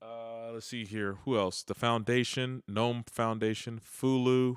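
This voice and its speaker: The recording is very clean with a silent background, carrying a man's medium-pitched voice. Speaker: tech live streamer. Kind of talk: casual live stream commentary. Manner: fast; casual, halting with repetitions.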